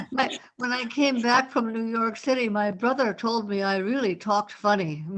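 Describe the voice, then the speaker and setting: A woman with an American accent has an unremarkable speaking voice at a fairly high pitch. She talks at a moderate pace with ordinary pitch variation. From US Midwest, Wisconsin. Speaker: poetry group member. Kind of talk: casual chat.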